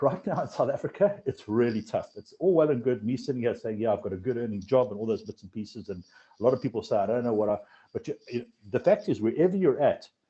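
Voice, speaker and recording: A somewhat breathy man at a medium pitch, with lively intonation, big swings in loudness, and a very fast pace. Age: 40s. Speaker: financial advisory firm founder. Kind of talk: podcast interview. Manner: repetitive, halting restarts.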